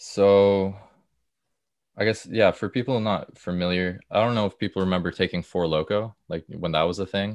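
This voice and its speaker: This man has a plain, everyday voice and a Canadian accent, speaking at a moderate pace against a quiet background. His pitch is fairly low and his intonation fairly even. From Ontario, Canada (Stouffville, north of Toronto). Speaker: podcast guest sharing recovery story. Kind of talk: casual interview.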